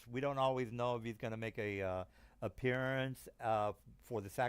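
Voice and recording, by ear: Here the text is read aloud in a natural voice.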